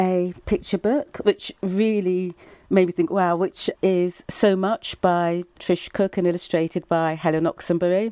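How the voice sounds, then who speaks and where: In a southern English accent, a woman speaks in a dark, mellow tone with ordinary pitch variation. The recording is very clean, with a silent background, and the sound is dry and close with no echo. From Brighton, England. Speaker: author. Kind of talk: panel interview.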